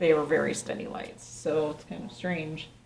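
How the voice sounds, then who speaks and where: A woman speaks at a fairly low pitch. The recording carries audible room echo and noticeable background noise. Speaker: paranormal investigator. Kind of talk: on-location investigation narration. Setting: hotel landing at night. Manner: quiet, hushed.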